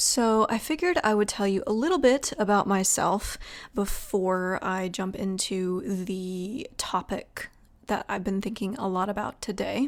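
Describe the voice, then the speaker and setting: On a very clean recording with a silent background, a woman speaks at a fairly slow pace. Her pitch is medium, with ordinary variation. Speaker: podcast host and writer. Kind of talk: solo podcast monologue. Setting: at her desk, home recording.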